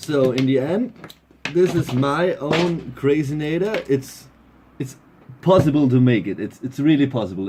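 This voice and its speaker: Speaking at a fairly slow pace, a man with a German accent uses a medium pitch. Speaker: DIY electronics hobbyist. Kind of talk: casual tutorial. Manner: halting.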